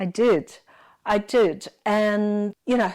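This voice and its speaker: Very clean recording, silent background, and a woman's fairly high voice at a very slow pace. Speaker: architect. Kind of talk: interview.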